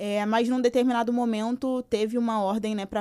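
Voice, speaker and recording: Over a silent background in a very clean recording, a woman with a fairly high pitch and a dark, mellow tone speaks fairly quickly in a monotone, flat intonation. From São Gonçalo, Rio de Janeiro, Brazil. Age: 20s. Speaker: activist and social scientist. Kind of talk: podcast interview.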